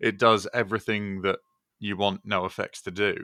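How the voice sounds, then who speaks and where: With a Southern English accent, a man speaks at a moderate pace and fairly low pitch in a bright, sharp tone, captured on a very clean recording with a silent background and a dry, close sound with no echo. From southern England, Brighton-born, raised in Yorkshire from age nine. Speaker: podcast co-host, music producer. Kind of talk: casual chat. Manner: halting, many fillers.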